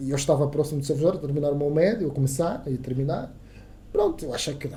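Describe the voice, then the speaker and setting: A man with an Angolan accent talks at a very fast pace in a somewhat breathy, fairly high voice. His intonation stays fairly even. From Angola, Soyo (Zaire province). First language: Kissolongo (speaking Portuguese). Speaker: radio journalist. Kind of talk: casual interview chat. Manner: halting, many repetitions.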